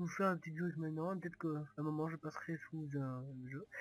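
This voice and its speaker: In a Toulouse accent, a man speaks at a fairly high pitch with ordinary pitch variation. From Toulouse, southwest France. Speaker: gaming youtuber. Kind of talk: gameplay commentary. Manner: halting, many hesitations.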